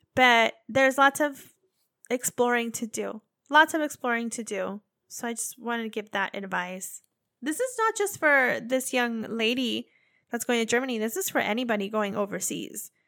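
In an ordinary speaking voice, a woman with an American accent talks at a moderate pace with a fairly high pitch and ordinary pitch variation. The recording is very clean, with a silent background and a dry, close sound with no echo. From United States. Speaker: podcast host, military spouse. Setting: living abroad in Japan. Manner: chatty, laughs often, playful.

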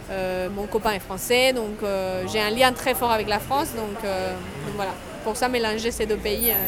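Noticeable background noise and audible room echo surround the recording. A woman speaks at a fairly slow pace with fairly high pitch and fairly even intonation. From Colombia. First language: Spanish (speaking French). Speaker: travel agency founder. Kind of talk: interview. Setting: café.

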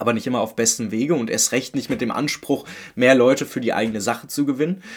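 A man talks at a fairly quick pace in a normal speaking voice, with ordinary pitch variation. The recording is very clean, with a silent background. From Berlin-Köpenick, eastern Berlin. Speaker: football podcaster. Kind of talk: solo podcast monologue.

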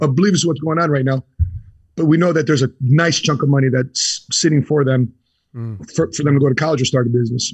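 Very fast, somewhat breathy speech from a man with a fairly high pitch, a Chicago accent, and ordinary pitch variation. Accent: Chicago American. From US Midwest, Chicago. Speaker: insurance entrepreneur, Marine veteran. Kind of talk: interview.

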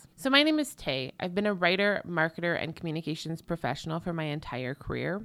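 On a very clean recording with a silent background, a woman talks at a fairly quick pace in a normal speaking voice with a fairly low pitch. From Canada. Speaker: podcast host, legal marketing consultant. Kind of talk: solo podcast monologue.

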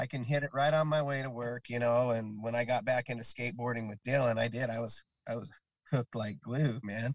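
A man with an American accent speaks at a fairly quick pace in a normal speaking voice of medium pitch. His intonation is fairly even, and the sound is dry and close with no echo. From Utah, Salt Lake area (Kearns). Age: 40s. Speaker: skateboarder and carpenter, skate park volunteer. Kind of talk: casual chat.

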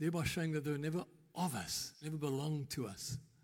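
At a fairly quick pace, a man talks with a fairly high pitch, a somewhat breathy quality and ordinary pitch variation. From South Africa, Eastern Cape. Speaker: pastor. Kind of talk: sermon. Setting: church. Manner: conversational.

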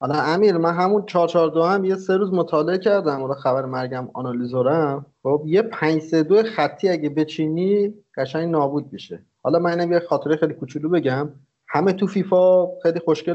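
A man with a high voice talks moderately fast, his pitch varying in an ordinary way. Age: 30s. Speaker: podcast co-host. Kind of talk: casual chat.

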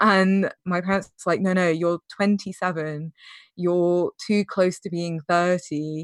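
With a British accent, a woman speaks fairly slowly at a fairly low pitch with fairly even intonation over a quiet background. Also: dry, close sound with no echo. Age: 30s. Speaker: user researcher sharing estrangement story. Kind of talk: interview testimony.

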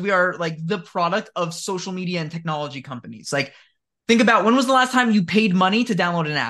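In an American accent, a man talks at a fairly quick pace in a raised, projected voice, his tone bright and sharp and his pitch varying in an ordinary way. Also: quiet background. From New Jersey. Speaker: history teacher. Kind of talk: casual chat.

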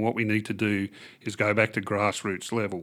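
On a very clean recording with a silent background, a man with an Australian accent speaks at a moderate pace, his fairly low voice carrying a bright, sharp tone. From Western Australia (Kimberley, Kununurra). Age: 50s. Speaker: political candidate. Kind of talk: interview. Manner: halting.

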